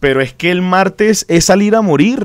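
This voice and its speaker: A man's high-pitched, animated voice at a moderate pace, with very wide pitch swings, dry sound with no echo and a quiet background. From Venezuela. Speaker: football podcast co-host. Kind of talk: casual chat. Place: studio. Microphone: studio mic.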